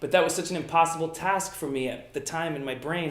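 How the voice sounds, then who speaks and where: Against noticeable background noise and audible room echo, a high-pitched man talks at a fairly quick pace with ordinary pitch variation. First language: Italian. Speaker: magician. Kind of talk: interview. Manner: casual, frequent fillers.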